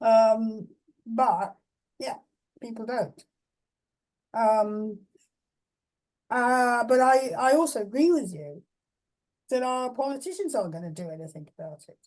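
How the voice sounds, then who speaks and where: Speaking with an English accent, a woman with a fairly high pitch moves at a fairly slow pace, using very wide pitch swings, big swings in loudness and long, frequent pauses. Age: 80s+. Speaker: philosopher. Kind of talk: Q&A discussion. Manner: halting.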